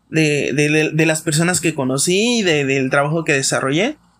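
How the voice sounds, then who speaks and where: A man speaks at a fairly slow pace with a fairly high pitch, on a very clean recording with a silent background. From Mexico, Campeche. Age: 20s. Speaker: podcast host, psychologist. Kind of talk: casual monologue. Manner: hesitant, many fillers.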